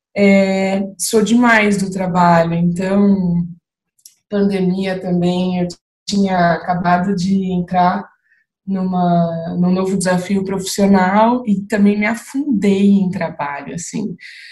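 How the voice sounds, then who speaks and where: Somewhat breathy, a woman speaks at a very slow pace with medium pitch and fairly even intonation. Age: 30s. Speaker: manager. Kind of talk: casual chat.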